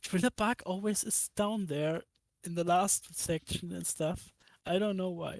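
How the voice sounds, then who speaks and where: Speaking with a German accent, a woman at medium pitch keeps a fairly slow pace and fairly even intonation, the sound dry and close with no echo. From Germany. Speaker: YouTube anime content creator. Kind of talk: casual chat.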